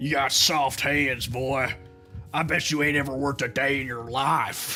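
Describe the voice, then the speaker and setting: The speaker puts on a character voice. Music plays clearly in the background. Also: man, medium pitch for a man, moderate pace. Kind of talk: rough, rural.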